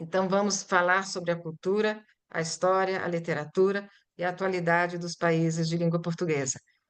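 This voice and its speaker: With monotone, flat intonation, a woman talks in a fairly low pitch. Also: moderate pace. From Brazil (born in Italy, arrived at six). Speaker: Portuguese-as-foreign-language teacher. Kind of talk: lecture presentation.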